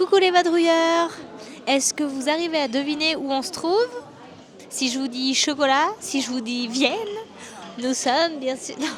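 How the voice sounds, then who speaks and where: Amid crowd noise and audible room echo, a woman speaks high and fairly slowly, with ordinary pitch variation and big swings in loudness. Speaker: travel vlogger. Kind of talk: travel vlog presentation.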